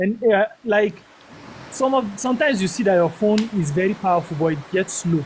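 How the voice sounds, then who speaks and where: The speaker has a northern Nigerian accent, with noticeable background noise. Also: fairly quick pace. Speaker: caller. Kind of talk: live Q&A discussion.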